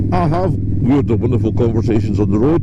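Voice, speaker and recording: Over noticeable background noise, a man with a Scottish accent speaks with ordinary pitch variation. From Scotland. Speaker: motovlogger. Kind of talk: casual moto vlog talk to camera. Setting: outdoors, riding a motorcycle.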